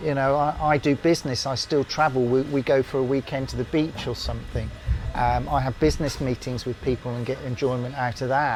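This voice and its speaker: A man with a British accent talks at a fairly quick pace with fairly even intonation. Music plays in the background. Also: medium pitch for a man. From UK. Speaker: former RAF engineer. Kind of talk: interview answer.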